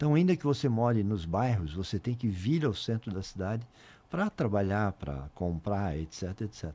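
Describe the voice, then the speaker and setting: The voice has a dark, mellow tone and very wide pitch swings. It moves at a moderate pace. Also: man, fairly low pitch for a man. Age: 60s. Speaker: mayor. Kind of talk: interview.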